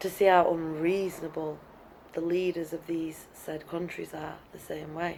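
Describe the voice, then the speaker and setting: In a Welsh accent, a woman speaks with monotone, flat intonation and big swings in loudness. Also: fairly low pitch for a woman, moderate pace. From Wales, Brecon Beacons; moved to England at about six. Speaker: teacher. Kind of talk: opinion monologue.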